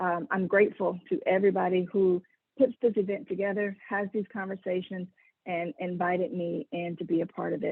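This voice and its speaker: In an American accent, a woman with a plain, everyday voice speaks at a fairly quick pace, her medium pitch showing ordinary pitch variation. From US South, South Carolina. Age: 40s. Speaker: engineer and keynote speaker. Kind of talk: keynote talk.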